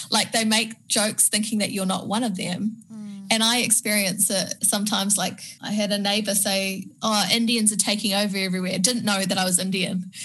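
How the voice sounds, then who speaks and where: With a New Zealand accent, the speaker goes at a fairly quick pace in a monotone, flat intonation and a bright, sharp tone. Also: woman, medium pitch for a woman, hardly any pauses. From Penang, Malaysia, then New Zealand. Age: 30s. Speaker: media personality and entrepreneur. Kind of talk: interview, casual chat. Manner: halting, repeats words.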